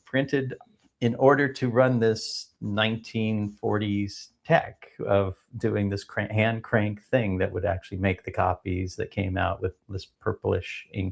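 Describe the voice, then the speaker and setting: A man with an American accent, a fairly low pitch, fairly even intonation and a fairly slow pace against a quiet background. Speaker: edtech company founder. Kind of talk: podcast interview. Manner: hesitant, many fillers.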